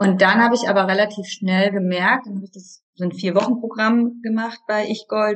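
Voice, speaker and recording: A woman with a fairly high pitch speaks in a monotone, flat intonation, with hardly any pauses. Her voice is somewhat breathy, and its loudness swings widely. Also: moderate pace. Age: 30s. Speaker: yoga teacher and coach. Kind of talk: interview.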